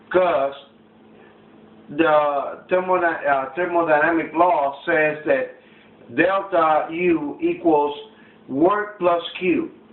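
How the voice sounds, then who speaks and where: Very slow, with long, frequent pauses, a high-pitched man speaks with fairly even intonation and very even loudness amid audible room echo and noticeable background noise. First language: not English. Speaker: student. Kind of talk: classroom demonstration. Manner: halting.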